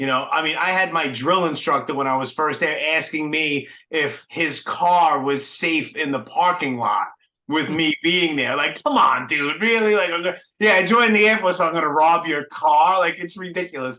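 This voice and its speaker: This man has a high voice and a strong Brooklyn accent. He talks at a moderate pace with ordinary pitch variation. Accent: heavy Brooklyn. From New York City (Brooklyn). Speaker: podcast host. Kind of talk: casual interview chat. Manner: casual, filler-heavy.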